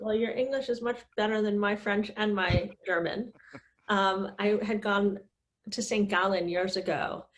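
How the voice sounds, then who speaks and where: A woman with an American accent, an ordinary speaking voice, medium pitch and fairly even intonation. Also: fairly slow pace. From US East Coast. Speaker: podcast host. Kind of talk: interview.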